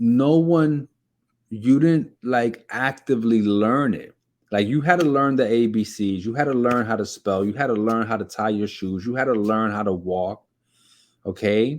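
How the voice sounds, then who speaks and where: A man with a New York accent speaks at a moderate pace. The background is quiet. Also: medium pitch for a man, ordinary pitch variation. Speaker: keto diet vlogger. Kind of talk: motivational talk to camera. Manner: repetitive, with frequent fillers and restarts; animated.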